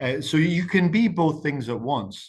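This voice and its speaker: A man speaks with an Irish accent. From Ireland. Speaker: campaign strategist. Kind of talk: webinar talk. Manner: fast.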